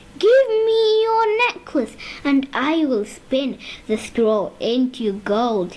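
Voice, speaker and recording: Putting on a character voice, a woman speaks very slowly in a high pitch with very wide pitch swings, over light background noise. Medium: read story.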